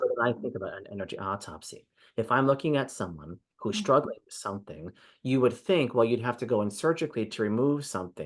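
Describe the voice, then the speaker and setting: Very fast, lively speech from a man at a medium pitch, with vocal fry, big swings in loudness and a quiet background. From Hawaii. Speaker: energy healer. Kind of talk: interview answer. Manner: plain, direct.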